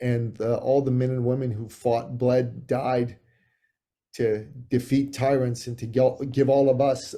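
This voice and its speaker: The tone is dark and mellow, the intonation monotone and flat. The pace is fairly slow. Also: man. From Iran, left as a child, raised in Canada. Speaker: author and business coach. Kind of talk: interview.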